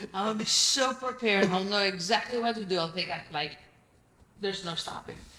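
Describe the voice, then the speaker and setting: With a Greek accent, the speaker talks at a fairly quick pace in an animated tone. Pitch variation is ordinary, with noticeable background noise. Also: woman, medium pitch for a woman. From Greece. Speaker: real estate investor. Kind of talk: podcast interview.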